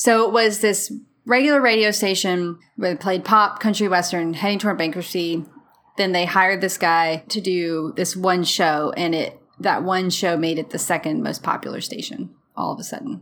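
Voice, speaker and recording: A woman talks at a moderate pace and medium pitch, with ordinary pitch variation. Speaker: history podcast co-host. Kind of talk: casual history podcast narration. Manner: put-on radio announcer voice.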